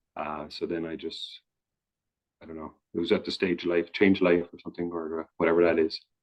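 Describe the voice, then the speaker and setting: With a Newfoundland accent, a man talks at a very deep, low pitch in a monotone, flat delivery marked by big swings in loudness. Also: fairly quick pace. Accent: Newfoundland, sounds almost Irish. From Newfoundland, Canada. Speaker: interviewee. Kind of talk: casual chat. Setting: video call. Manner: halting.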